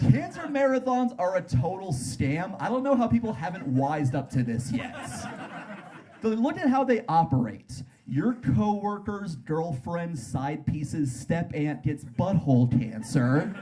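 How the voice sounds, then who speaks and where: A man's fairly high voice with very wide pitch swings, music playing in the background. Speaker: stand-up comedian. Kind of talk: stand-up comedy performance.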